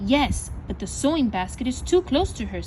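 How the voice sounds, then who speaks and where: A woman's put-on character voice at a moderate pace over clear background noise. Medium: read story. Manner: careful.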